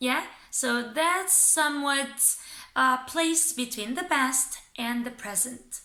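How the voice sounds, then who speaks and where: A woman with a Romanian accent speaks in a high, raised, projected voice. Her pace is very slow and her pitch varies in an ordinary way. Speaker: English teacher. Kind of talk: tutorial.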